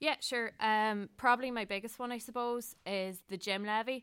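In a Donegal accent, a woman speaks with ordinary pitch variation. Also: very clean recording, silent background. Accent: Donegal Irish. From Ireland, County Donegal. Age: 20s. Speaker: student union candidate. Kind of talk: interview. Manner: hesitant.

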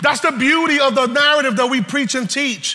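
A man with an American accent and an extremely high pitch uses a raised, projected voice and a passionate tone over noticeable background noise. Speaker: preacher. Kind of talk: sermon to a live congregation. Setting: church. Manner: animated, call-and-response, urging the crowd to say amen; passionate, emphatic, preaching with rising intensity.

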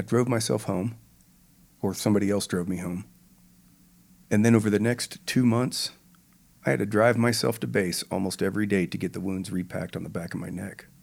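On a very clean recording with a silent background, a man talks at a fairly quick pace with vocal fry. He leaves long, frequent pauses. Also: ordinary pitch variation. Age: 40s. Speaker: retired air force pararescueman. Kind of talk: interview.

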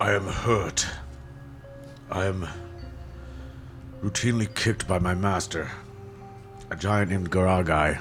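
Doing a put-on character voice, a man speaks at a moderate pace with a very deep, low pitch and long, frequent pauses while clear music plays in the background. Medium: actual play. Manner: slow, formal speech.

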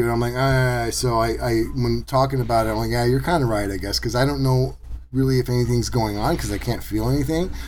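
This man's speech runs fairly quick. The room adds an audible echo. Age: 50s. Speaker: podcast host and maker. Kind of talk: casual chat.

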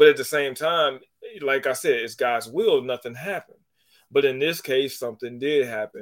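A man's ordinary speaking voice at medium pitch and moderate pace, with ordinary pitch variation and big swings in loudness. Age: 30s. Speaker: sports podcast host. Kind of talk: casual chat.

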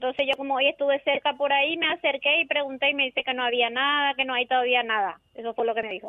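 A woman speaks very fast with hardly any pauses. Her voice is high and her intonation fairly even. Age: 50s. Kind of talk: radio call-in complaint. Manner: halting.

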